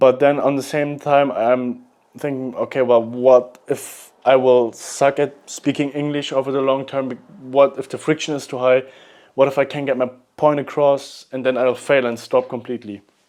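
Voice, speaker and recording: A man with a German accent speaks at a moderate pace. His intonation is monotone and flat. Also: medium pitch for a man. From Germany. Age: 20s. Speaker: vlogger. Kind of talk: unscripted vlog monologue. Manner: halting, with repetitions.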